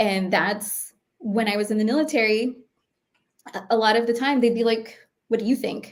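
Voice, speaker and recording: Delivered in an American accent, the speech keeps fairly even intonation at a moderate pace. Pauses are long and frequent. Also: woman, fairly high pitch for a woman. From New York City. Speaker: cybersecurity expert and former Marine. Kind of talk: interview conversation. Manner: speaking higher and more neutral than her normal voice.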